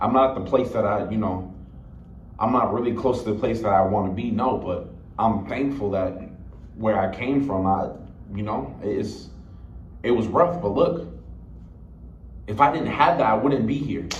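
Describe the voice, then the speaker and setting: Over audible room echo, a man with a fairly low voice speaks at a moderate pace, using lively intonation and long, frequent pauses. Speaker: motivational vlogger. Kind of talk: unscripted vlog monologue. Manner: loud; rambling, halting with repeated words.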